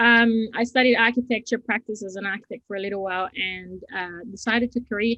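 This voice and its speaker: This woman talks at a fairly quick pace with a fairly high pitch. Her intonation stays fairly even. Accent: Costa Rican. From Costa Rica. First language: Spanish. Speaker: design and technology teacher. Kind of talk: interview.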